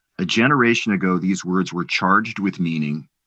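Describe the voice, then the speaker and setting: At a moderate pace, a man talks in a plain, everyday voice, his intonation lively. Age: 50s. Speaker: podcast host. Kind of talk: interview.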